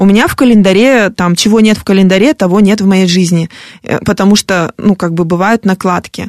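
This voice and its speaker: A woman uses an ordinary speaking voice at medium pitch with ordinary pitch variation. The sound is dry and close with no echo. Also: fairly quick pace. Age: 40s. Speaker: fitness blogger and motivational coach. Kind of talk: radio interview. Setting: radio studio.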